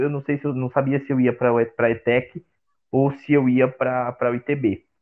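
A man's voice at a medium pitch. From Brazil, Osasco (São Paulo). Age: 20s. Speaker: marketing student and agency co-founder. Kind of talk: casual interview. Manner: halting, frequent repetitions.

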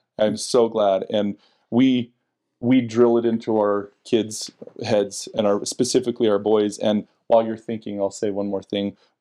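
In a Utah accent, the speech moves at a moderate pace with monotone, flat intonation and a dark, mellow tone. The recording is very clean, with a silent background. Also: man, fairly low pitch for a man. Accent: Utah American. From Salt Lake County, Utah. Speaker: church member and husband. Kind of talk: casual interview about faith. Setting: at home.

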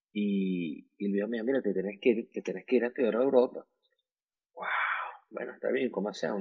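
Speaking at a very fast pace, a man keeps his fairly low voice in fairly even intonation. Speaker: beauty salon entrepreneur. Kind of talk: casual chat. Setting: at home.

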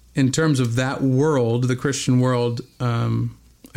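In a West Coast accent, a man speaks at a very slow pace and medium pitch with fairly even intonation. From Bend, Oregon. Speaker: metal band frontman and graphic designer. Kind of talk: casual interview. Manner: many fillers.

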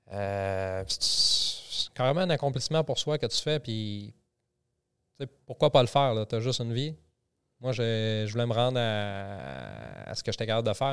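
On a very clean recording with a silent background, an unremarkable speaking voice proceeds at a moderate pace, its pitch varying in an ordinary way. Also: man, medium pitch for a man. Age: 40s. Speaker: army reservist and personal development enthusiast. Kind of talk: casual chat. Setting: studio.

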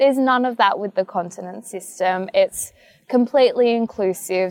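A woman with an Australian accent speaks at a moderate pace with fairly even intonation. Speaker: pageant titleholder. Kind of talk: casual interview. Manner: loud; talkative.

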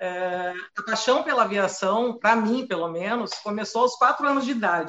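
A woman speaks with a regional Brazilian accent. Her pitch varies in an ordinary way. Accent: noticeable regional Brazilian. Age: 40s. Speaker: flight attendant. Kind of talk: live stream interview.

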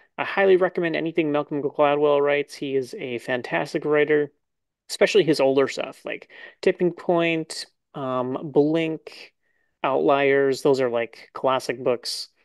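Set against a quiet background, the speech moves at a fairly slow pace. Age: 30s. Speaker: chess podcast host. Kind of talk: casual chat.

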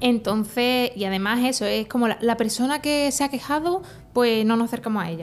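A woman with a normal speaking voice, fairly high in pitch, talks at a fairly quick pace with ordinary pitch variation. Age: 20s. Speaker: teacher and anti-bullying advocate. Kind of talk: testimony.

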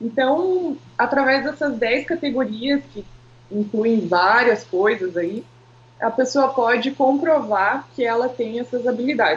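Speaking at a fairly slow pace, a woman with a high pitch shows ordinary pitch variation. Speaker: marketing professional. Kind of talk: casual interview chat.

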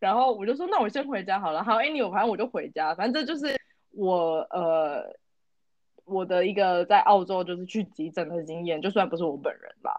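With lively intonation, a woman talks at a fairly quick pace in a normal speaking voice of medium pitch. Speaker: podcast co-host. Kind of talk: casual chat.

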